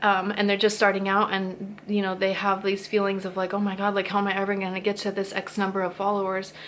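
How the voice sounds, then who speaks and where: Her medium-pitched voice carries a woman's speech at a very fast pace. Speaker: YouTuber sharing spiritual thoughts. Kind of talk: casual talk to camera. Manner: animated.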